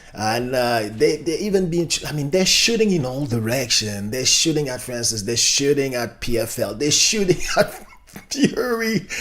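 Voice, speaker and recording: Over noticeable background noise, a man speaks at a moderate pace in an animated tone, his pitch swinging very widely. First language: not English. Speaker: YouTube commentator. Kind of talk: casual commentary video. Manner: halting, many fillers.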